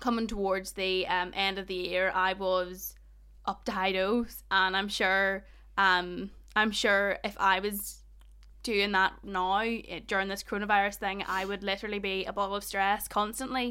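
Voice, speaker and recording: A woman's medium-pitched, bright, sharp voice with a slight Northern Irish accent, monotone and flat intonation, and a moderate pace. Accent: Northern Irish, Ballymena, slight. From Northern Ireland. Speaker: student union podcast host. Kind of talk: casual chat. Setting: recording from home bedroom, remote.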